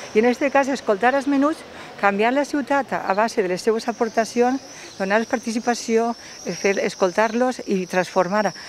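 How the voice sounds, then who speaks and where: A woman's fairly high voice at a moderate pace with ordinary pitch variation, dry with no echo, over light background noise. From Valencia region, Spain. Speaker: local councillor. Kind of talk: interview. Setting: outdoors. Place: street. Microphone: handheld.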